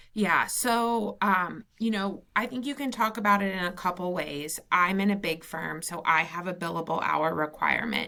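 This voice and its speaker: With hardly any pauses, a woman in a Southern US accent talks at a moderate pace and fairly low pitch, her tone bright and sharp, her pitch variation ordinary. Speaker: lawyer. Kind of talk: casual interview.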